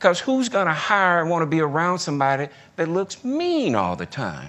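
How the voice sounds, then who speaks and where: A man speaks at a moderate pace in a strong Southern US accent. The background is quiet. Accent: heavy Southern US. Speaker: retired corporate executive. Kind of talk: leadership talk. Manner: conversational.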